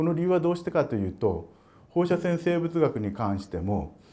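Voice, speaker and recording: A man with a dark, mellow tone speaks at a moderate pace. His pitch is fairly high and swings very widely. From Japan, Gifu Prefecture; Japan. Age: 60s. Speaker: emeritus professor, radiation biologist; emeritus professor. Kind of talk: public lecture. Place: meeting room.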